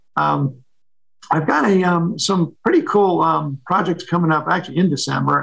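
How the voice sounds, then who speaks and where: A somewhat breathy man with an American accent, fairly even intonation and a moderate pace. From New York City. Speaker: photographer. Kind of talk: interview conversation.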